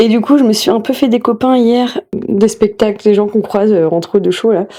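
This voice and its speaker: Her voice is a woman's, fairly high in pitch with a dark, mellow tone. She keeps a moderate pace and ordinary pitch variation. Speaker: burlesque performer and vlogger. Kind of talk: casual vlog. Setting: backstage at theatre.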